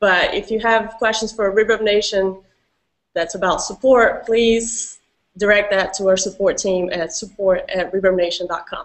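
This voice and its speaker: Speaking with a Brazilian accent, a woman talks at medium pitch and a moderate pace with fairly even intonation. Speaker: community manager, hangout host. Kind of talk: casual online Q&A hosting. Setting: video call hangout.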